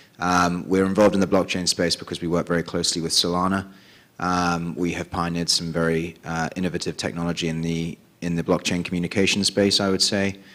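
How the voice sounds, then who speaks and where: Very fast and monotone, a man with a British accent speaks in a very deep, low voice in a very clean recording with a silent background. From England (London). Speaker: tech company executive. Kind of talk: conference panel introduction. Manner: hesitant, many ums.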